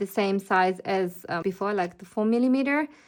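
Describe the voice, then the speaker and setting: A woman speaks with a non-native accent and fairly even intonation. The recording is very clean, with a silent background. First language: not English. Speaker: planner designer and shop owner. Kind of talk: product flip-through tutorial. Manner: casual with frequent fillers.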